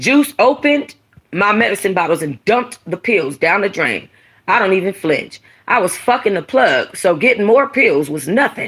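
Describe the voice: Big pitch swings mark a fairly bright tone with a slightly husky edge, delivered at a moderate pace. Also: woman, medium pitch for a woman.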